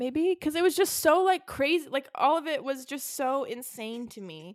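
A woman speaks with lively intonation. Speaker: podcast host. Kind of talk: casual chat. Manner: animated, casual.

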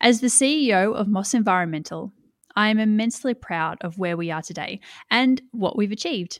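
In an Australian accent, the speaker talks at a fairly quick pace, the sound dry and close with no echo on a very clean recording with a silent background. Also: woman, fairly high pitch for a woman, lively intonation. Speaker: podcast host and environmental consultancy CEO. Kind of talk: scripted podcast trailer introduction.

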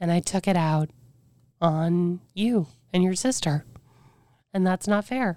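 A woman speaks quietly at a medium pitch. The sound is dry and close, with no echo. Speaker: former radio personality living with cancer. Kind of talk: candid interview conversation. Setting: in person recording. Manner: cannot raise voice, quiet.

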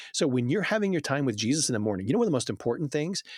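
A man talks at a very fast pace in an animated tone, with very wide pitch swings. The recording is very clean and the background silent. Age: 40s. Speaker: children's book author and publisher. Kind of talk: casual chat.

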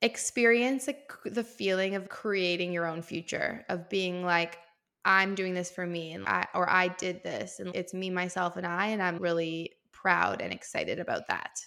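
A woman with a bright, sharp tone, medium pitch, fairly even intonation and a moderate pace. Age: 30s. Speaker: entrepreneur and fitness content creator. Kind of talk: casual chat.

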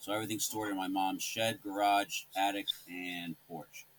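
Over noticeable background noise, a man with an American accent speaks at a fairly low pitch and a moderate pace. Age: 40s. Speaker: Halloween display hobbyist. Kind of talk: casual interview.

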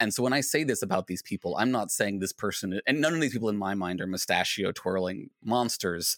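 A man with a plain, everyday voice, fairly low pitch, ordinary pitch variation and fairly quick pace, in a very clean, dry, close recording with no echo and a silent background. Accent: American. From US Virginia. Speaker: philosophy podcaster and PhD student. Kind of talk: casual interview chat.

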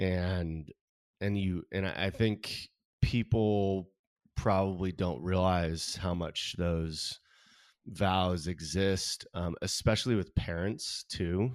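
In a very clean recording with a silent background, a man with a Californian accent talks at a very slow pace in a very deep, low pitch with fairly even intonation. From Southern California. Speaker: artist. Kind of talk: interview.

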